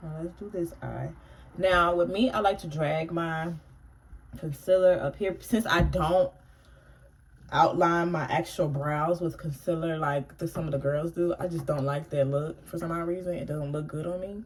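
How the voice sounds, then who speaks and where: At a moderate pace, a woman speaks in a fairly low, somewhat breathy voice with fairly even intonation. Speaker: beauty vlogger. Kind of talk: makeup tutorial. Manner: casual, slightly halting.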